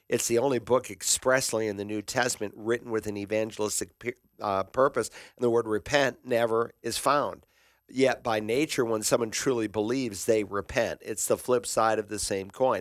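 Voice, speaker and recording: In a dry, close sound with no echo, a man with a normal speaking voice talks at a moderate pace, medium pitch and fairly even intonation. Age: 60s. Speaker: pastor and radio call-in host. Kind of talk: radio call-in Bible Q&A. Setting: radio studio.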